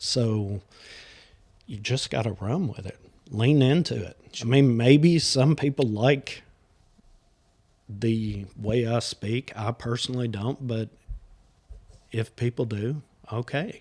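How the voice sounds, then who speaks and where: At a very slow pace with long, frequent pauses, a man talks at medium pitch with ordinary pitch variation. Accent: Southern US. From US South. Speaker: podcast host. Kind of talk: casual chat.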